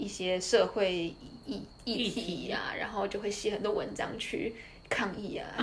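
A woman with a Taiwanese accent speaks at a fairly slow pace and medium pitch, with ordinary pitch variation. There is audible room echo and noticeable background noise. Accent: Taiwanese Mandarin. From Taiwan, Tainan. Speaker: former finance employee, student. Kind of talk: casual interview. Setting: at her home.

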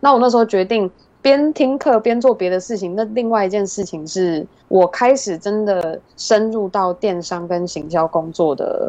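At a moderate pace, a woman speaks at medium pitch in a dark, mellow tone with lively intonation. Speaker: podcast host and digital marketer. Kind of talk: interview.

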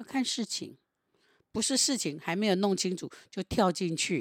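A woman's medium-pitched, plain, everyday voice with ordinary pitch variation sounds dry and close with no echo on a very clean recording with a silent background. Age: 60s. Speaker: meditation teacher. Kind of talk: casual chat with reflective teaching.

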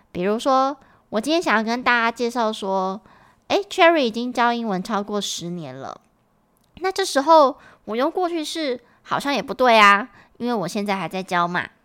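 A woman talks at a moderate pace, her fairly high pitch swinging very widely. The recording is very clean against a silent background. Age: 30s. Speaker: English teacher and podcast host. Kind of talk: tutorial.

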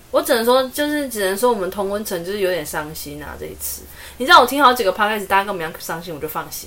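Very fast speech comes from a woman with a medium pitch, lively intonation and big swings in loudness over noticeable background noise. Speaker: podcast co-host. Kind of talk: casual chat.

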